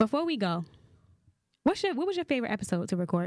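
A woman speaks at a very fast pace with very wide pitch swings, the sound dry and close with no echo. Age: young. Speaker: podcast co-host. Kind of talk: casual chat.

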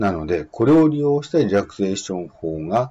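The pitch swings very widely. The speaker is a man. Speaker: exam prep instructor. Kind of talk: lecture. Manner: casual, hesitant with fillers.

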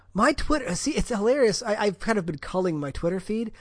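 A man with an American accent at a fairly quick pace, with very wide pitch swings and a quiet background. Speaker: podcast host. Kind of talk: casual chat.

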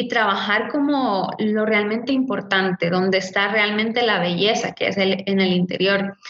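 A woman with an unremarkable speaking voice talks at a fairly slow pace, her intonation fairly even. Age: 30s. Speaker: image consultant and coach. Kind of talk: casual interview.

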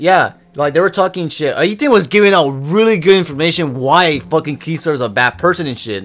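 A man's fairly high-pitched voice at a fairly quick pace, with hardly any pauses. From Texas. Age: young (19). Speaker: podcast co-host. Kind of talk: casual chat.

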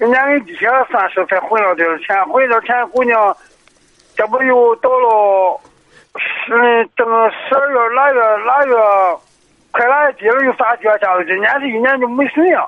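Pitched extremely high, a man talks at a moderate pace with ordinary pitch variation. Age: 40s. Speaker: caller, small business owner. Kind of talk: phone-in advice call. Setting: phone call. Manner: halting.

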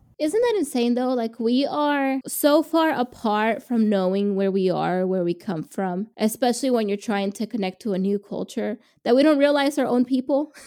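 A woman speaks at a high pitch with lively intonation and a dark, mellow tone. The recording is very clean with a silent background. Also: moderate pace. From Mexican immigrant family, raised in the US. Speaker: podcast co-host. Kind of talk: casual chat.

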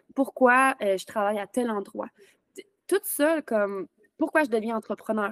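In a Quebec accent, a woman speaks at a fairly slow pace and fairly high pitch with ordinary pitch variation. Long, frequent pauses come through a dry, close sound with no echo. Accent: Québécois French. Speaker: podcast host and virtual assistant. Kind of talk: casual interview. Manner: animated.

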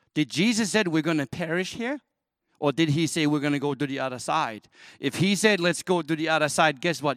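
A man talks at a fairly quick pace with a non-native accent. His pitch is fairly high and varies in an ordinary way. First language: not English. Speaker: church worship leader and elder. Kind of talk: farewell sermon. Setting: church service.

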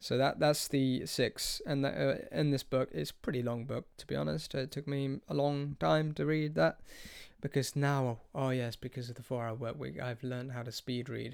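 On a very clean recording with a silent background, a man speaks at a medium pitch and moderate pace with ordinary pitch variation. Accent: British. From UK. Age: 20s. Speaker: podcast host, aspiring life coach. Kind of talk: solo casual monologue. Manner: hesitant, many fillers.

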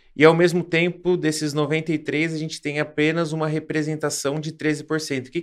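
A fairly high-pitched man's voice at a fairly slow pace, in a very clean recording with a silent background. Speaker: podcast host. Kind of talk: interview. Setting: studio.

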